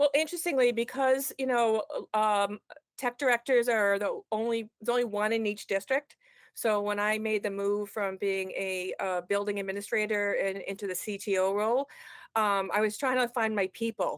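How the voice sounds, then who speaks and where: A woman with a strong Boston accent speaks at a moderate pace, fairly high in pitch and fairly even in intonation. The sound is dry and close with no echo, on a very clean recording with a silent background. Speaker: education technology consultant. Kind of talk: podcast interview. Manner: halting, many fillers.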